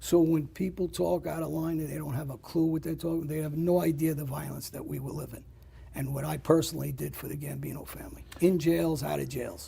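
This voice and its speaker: A man's raspy, put-on character voice at a fairly quick pace, with light background noise. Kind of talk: casual. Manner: nonchalant, offhand.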